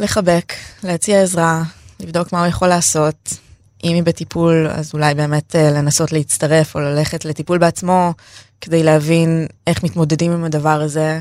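Her voice fairly low, a woman speaks at a moderate pace in a monotone, flat intonation. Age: 30s. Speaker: feminist activist sharing her eating disorder story. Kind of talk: personal interview testimony.

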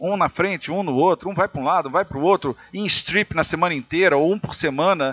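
A man speaks at a fairly quick pace. His voice is high in pitch. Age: 50s. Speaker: former TV programming executive. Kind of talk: casual chat.

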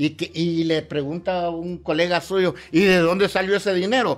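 On a very clean recording with a silent background, a man talks. His pitch is high and his pace moderate. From western Honduras. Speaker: human rights advocate. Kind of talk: interview.

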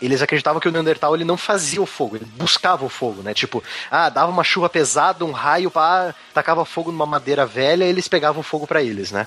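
The man races along at a very fast pace, his fairly high pitch carried by lively intonation. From southern Brazil, Curitiba (Paraná). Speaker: science podcast co-host. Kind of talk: casual chat.

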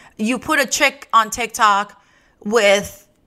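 Recorded very cleanly with a silent background, a woman speaks at medium pitch with ordinary pitch variation and a bright, sharp tone. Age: 30s. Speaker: podcast host and adult performer. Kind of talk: casual monologue.

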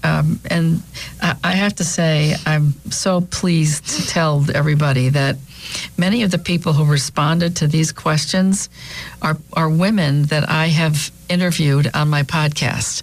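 A woman with a very deep, low pitch at a fairly slow pace, fairly even intonation, over noticeable background noise. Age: 60s. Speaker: radio talk show co-host, financial planner. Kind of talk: casual radio chat. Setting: studio.

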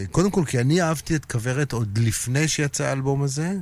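Using an unremarkable speaking voice, a man keeps a moderate pace and ordinary pitch variation. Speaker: music industry figure and musician. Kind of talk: casual interview. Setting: radio studio.

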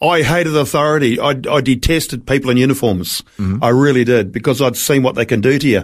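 A man with a New Zealand accent talks very fast at medium pitch, with hardly any pauses and very even loudness, on a very clean recording with a silent background. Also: ordinary pitch variation. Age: 60s. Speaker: traveling evangelist. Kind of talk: interview testimony.

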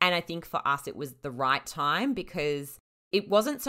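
A woman with an Australian accent and a bright, sharp tone. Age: 30s. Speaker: freelance writer and podcaster. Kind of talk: casual chat.

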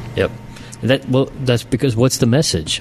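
A man speaks at a medium pitch with ordinary pitch variation. Noticeable background noise is present. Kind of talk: casual chat.

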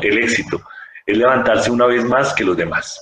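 A man's medium-pitched, unremarkable speaking voice at a moderate pace. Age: 40s. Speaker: physician. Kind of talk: interview.

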